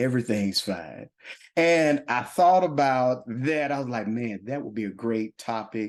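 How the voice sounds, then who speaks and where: A man talks at a fairly slow pace in a Southern US accent, his pitch medium. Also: lively intonation, quiet background. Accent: Southern drawl. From Louisville, Kentucky. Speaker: podcast host. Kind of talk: casual chat. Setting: coffee shop set. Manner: animated.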